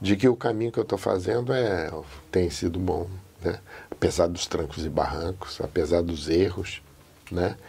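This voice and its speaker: A man with a very deep, low voice speaks at a moderate pace, leaving long, frequent pauses. His tone is dark, mellow and somewhat breathy, with ordinary pitch variation. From Portugal and São Paulo interior. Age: 80s+. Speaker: interviewee telling his life story. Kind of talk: oral history interview. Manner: reflective, with many fillers.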